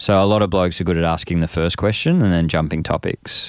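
A man with an Australian accent speaks at a moderate pace in a very deep, low pitch. His intonation is fairly even, and the recording is very clean with a silent background. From Australia, Frankston (Melbourne). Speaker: men's workshop facilitator. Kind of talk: casual interview.

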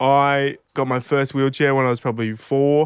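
Speaking with an Australian accent, a man keeps a medium pitch, moderate pace and monotone, flat intonation on a very clean recording with a silent background. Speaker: aspiring stand-up comedian. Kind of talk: stand-up comedy, telling anecdotes with dialogue. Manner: conversational, laid-back, deadpan punchlines.

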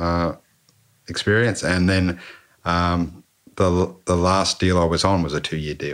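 Monotone and flat, a man with an Australian accent speaks with a very deep, low pitch. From Canberra, Australia. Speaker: former motorcycle racing mechanic. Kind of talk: casual interview chat. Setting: home podcast setup.

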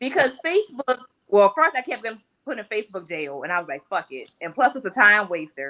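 A woman talks at a fairly quick pace in a fairly high pitch, with vocal fry. Her pitch swings very widely. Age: 40s. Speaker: returning guest. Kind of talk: casual chat.

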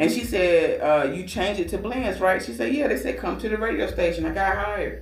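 A man with an American accent talks at a fairly quick pace with hardly any pauses, amid noticeable background noise. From Georgia, US. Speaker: radio DJ and awards organizer. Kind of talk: casual interview chat.

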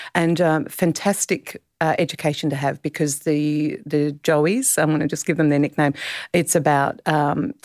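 A woman with an Australian accent speaks in a very deep, low pitch. Her intonation is monotone and flat, and the sound is dry and close with no echo. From South Australia, Clare Valley. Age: 50s. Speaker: novelist. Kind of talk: interview.

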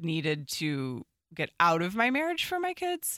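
Woman with an American accent, fairly low pitch and a bright, sharp tone, in a very clean recording with a silent background. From northwest suburbs of Chicago, Illinois. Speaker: newspaper columnist. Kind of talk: casual interview.

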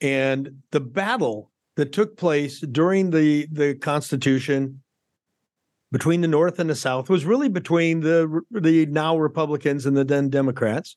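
In a quiet background, a man with a normal speaking voice talks at a fairly slow pace, fairly high in pitch, with ordinary pitch variation and very even loudness. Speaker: podcast co-host, doctor. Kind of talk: casual political talk podcast.

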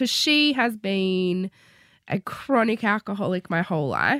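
Recorded very cleanly against a silent background, with a dry, close sound and no echo, a woman speaks at a medium pitch in an Australian accent, her pitch swinging very widely. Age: 30s. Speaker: author. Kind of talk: casual chat. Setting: studio.

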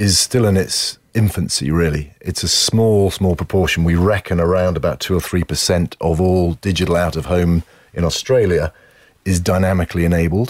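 A man with a British accent and a very deep, low pitch talks at a moderate pace with fairly even intonation and very even loudness. The recording is very clean, with a silent background and a dry, close sound with no echo. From UK. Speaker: advertising executive. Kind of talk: interview. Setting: studio.

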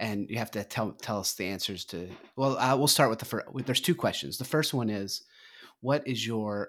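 A man with a plain, everyday voice speaks at a fairly quick pace and a fairly low pitch. His intonation is lively, and the recording is very clean with a silent background. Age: 40s. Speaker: podcast co-host, former federal politics insider. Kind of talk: casual chat.

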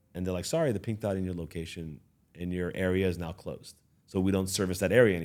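Very deep and low, a man's voice moves at a very fast pace with a Californian accent. His intonation is fairly even. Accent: Californian American. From Los Angeles. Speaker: business owner. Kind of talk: interview. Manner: halting.

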